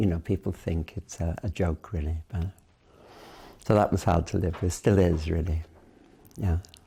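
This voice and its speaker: With a Welsh accent, a man with very deep, low pitch and a dark, mellow tone speaks at a fairly slow pace, somewhat breathy, with long, frequent pauses. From Wales, Cardiff. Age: 70s. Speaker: interviewee, Tibetan studies figure. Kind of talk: oral history interview. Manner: hesitant, with many fillers.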